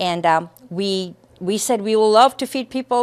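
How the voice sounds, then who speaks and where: An unremarkable speaking voice from a woman, fairly high-pitched with ordinary pitch variation, in a very clean recording with a silent background and a dry, close sound with no echo. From India, then raised in Lowell, Massachusetts from age twelve. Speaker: charity founder. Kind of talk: interview.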